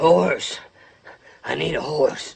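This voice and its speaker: Putting on a character voice, a man speaks in a raspy, fairly high pitch. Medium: short film. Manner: terse, drawling.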